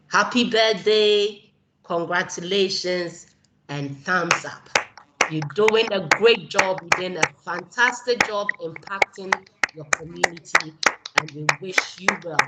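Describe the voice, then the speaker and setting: In a Ghanaian accent, a woman speaks at a very slow pace with big swings in loudness. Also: medium pitch for a woman, ordinary pitch variation. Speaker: keynote speaker, community organizer. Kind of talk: keynote speech.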